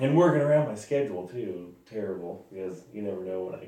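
Audible room echo surrounds a dark, mellow voice with a US Midwest accent. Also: man. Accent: rural US Midwest. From Sand Hills, Nebraska. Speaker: rodeo bulldogger. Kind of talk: casual interview.

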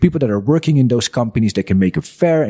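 A man's dark, mellow voice with a Dutch accent, very fast pace and very wide pitch swings, in a dry, close sound with no echo. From Netherlands. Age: 30s. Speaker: business owner and entrepreneur. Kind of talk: casual interview chat. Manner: hesitant, many fillers.

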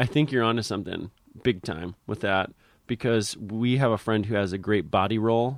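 This man speaks at a moderate pace with an American accent, in a plain, everyday voice. His pitch varies an ordinary amount, and the background is quiet. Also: fairly low pitch for a man. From Connecticut, US. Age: 30s. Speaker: clown and physical theater artist. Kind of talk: casual chat. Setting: in his bedroom.

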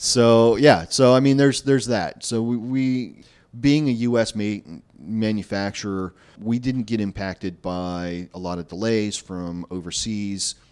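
A man speaks in a normal speaking voice at a fairly low pitch, with ordinary pitch variation and a fairly slow pace. The recording is very clean with a silent background. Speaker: solar sales director. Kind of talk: interview.

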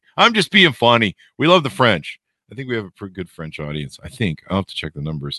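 Recorded dry and close with no echo, a man with a fairly low pitch and a bright, sharp tone makes very wide pitch swings and big swings in loudness. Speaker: podcast host. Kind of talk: casual interview. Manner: rambling improvised delivery.

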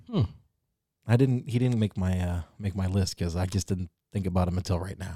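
A man's very deep, low, dark and mellow voice, somewhat breathy, with ordinary pitch variation and a fairly quick pace, in a dry, close sound with no echo on a very clean recording with a silent background. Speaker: hip-hop podcast co-host. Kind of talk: casual chat.

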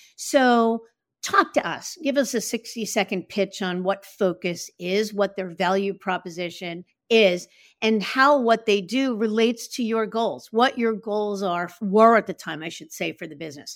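A woman's ordinary speaking voice at medium pitch, fairly slow in pace, with ordinary pitch variation, big swings in loudness, and a very clean recording with a silent background. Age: 60s. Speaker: podcast host and advisor recruiter. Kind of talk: interview.

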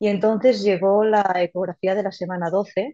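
A woman talks fairly slowly at a medium pitch, her tone dark and mellow and her intonation fairly even, against a quiet background. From Valencia region, Spain. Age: 30s. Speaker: podcast listener sharing birth story. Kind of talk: personal testimony. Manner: halting, many repetitions and fillers.

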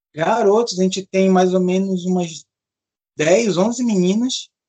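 A man with a high pitch and ordinary pitch variation. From Belém, Pará, northern Brazil. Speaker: rugby coach. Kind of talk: casual interview.

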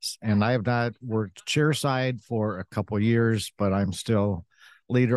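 A man with an American accent speaks in an unremarkable speaking voice at a moderate pace, his fairly low pitch and fairly even intonation captured in a dry, close sound with no echo against a quiet background. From US Midwest, Western Michigan. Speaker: dentist and company executive. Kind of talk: interview. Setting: live event.

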